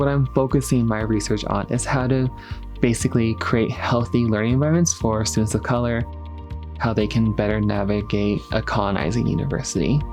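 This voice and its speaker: Over music in the background, a man with an American accent speaks fairly quickly at a fairly low pitch with very even loudness. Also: ordinary pitch variation. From Navajo Nation, Arizona. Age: 20s. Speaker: scholar. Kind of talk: documentary interview.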